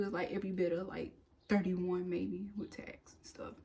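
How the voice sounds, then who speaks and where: A woman's voice over noticeable background noise. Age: 30s. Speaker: lifestyle vlogger. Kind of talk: casual vlog talk.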